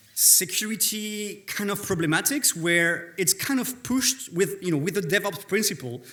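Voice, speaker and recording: In a French accent, the voice is raised and projected, with a bright, sharp tone. Intonation is lively and the pace moderate. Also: man. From France. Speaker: conference speaker, developer relations lead. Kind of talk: conference talk. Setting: stage with audience.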